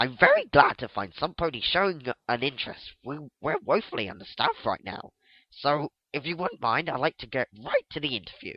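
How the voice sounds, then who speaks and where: Using a put-on character voice, a man talks at a fairly quick pace with a fairly high pitch. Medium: read story. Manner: courteous, soothing.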